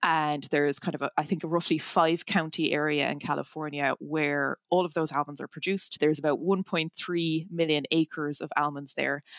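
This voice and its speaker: A woman speaks at a moderate pace in a Cork accent, her pitch very deep and low. Her intonation is monotone and flat, and the recording is very clean with a silent background and a dry, close sound with no echo. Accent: Cork Irish. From Ireland, north Cork. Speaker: tech startup founder and engineer. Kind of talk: interview.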